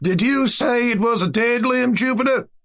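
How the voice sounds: Using a put-on character voice, a man speaks in an extremely high, shaky pitch. His pace is moderate.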